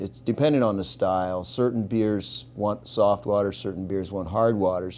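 Over light background noise, a man with an unremarkable speaking voice talks at a moderate pace, with a fairly low pitch and fairly even intonation. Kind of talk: interview answer. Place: bar.

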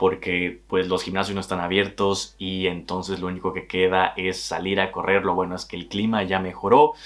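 The speaker talks at a moderate pace in a Mexican accent. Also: man. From Mexico, Tabasco. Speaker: travel vlogger. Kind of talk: vlog monologue. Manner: animated. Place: home room.

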